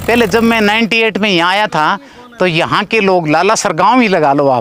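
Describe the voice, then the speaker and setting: A man's high-pitched voice with ordinary pitch variation at a moderate pace, dry and close with no echo. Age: 60s. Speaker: farmer. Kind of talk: customer testimonial interview.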